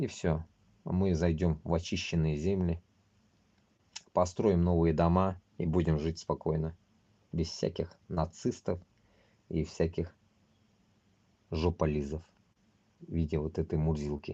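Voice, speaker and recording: A man speaks with a very deep, low pitch. His delivery is monotone and flat, broken by long, frequent pauses. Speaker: streamer. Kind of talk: live stream monologue. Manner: halting.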